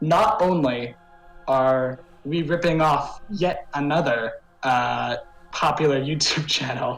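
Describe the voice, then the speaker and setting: Music plays in the background as a man with a fairly high pitch speaks with ordinary pitch variation. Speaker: web show co-host. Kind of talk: casual chat. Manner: halting, many fillers.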